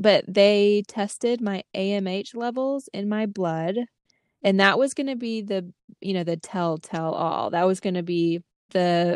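A plain, everyday voice at a fairly slow pace, ordinary pitch variation, dry and close with no echo against a quiet background. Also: woman. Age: 30s. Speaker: podcast co-host. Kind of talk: casual chat. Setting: remote recording at home.

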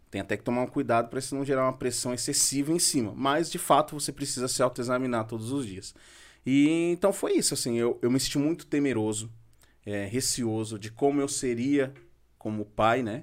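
Speaking fairly quickly in a very clean recording with a silent background, a man with an ordinary speaking voice uses a medium pitch and ordinary pitch variation. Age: 30s. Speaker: building materials shop owner and father. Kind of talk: casual podcast interview.

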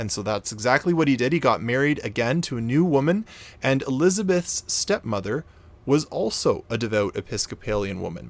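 With a Canadian accent, a man of medium pitch speaks at a fairly quick pace with very wide pitch swings, on a very clean recording with a silent background. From Canada. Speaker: podcast host. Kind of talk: storytelling narration.

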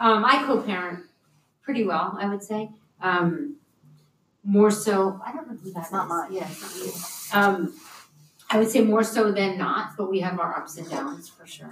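A woman's medium-pitched voice with lively intonation and a fairly slow pace, big swings in loudness and long, frequent pauses. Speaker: podcast host and yoga studio owner. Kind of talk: casual panel discussion. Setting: in-person room with several guests. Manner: candid and profane.

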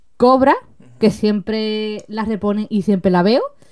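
Her pitch rises and falls in a normal way. The speaker is a woman. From Seville, Andalusia. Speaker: content creator. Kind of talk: casual chat. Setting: live video stream.

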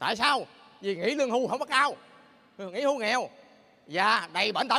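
Raising and projecting his voice, a man with a Southern Vietnamese accent speaks at an extremely high pitch with a bright, sharp tone and ordinary pitch variation. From Bến Tre, southern Vietnam. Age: 50s. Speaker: direct-sales distributor giving a success story. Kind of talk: motivational pitch, rally testimony to a large audience. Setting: stage with audience. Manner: earnest and persuasive, repeats 'anh chị', builds emotional momentum.

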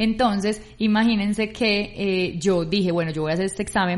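Here a woman is speaking. Her intonation stays fairly even. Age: 30s. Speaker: podcast co-host. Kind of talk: casual chat.

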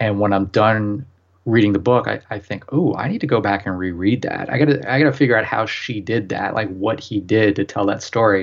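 A man with a normal speaking voice, fairly low pitch, ordinary pitch variation and a fairly quick pace. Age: 30s. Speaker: novelist. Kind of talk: casual chat.

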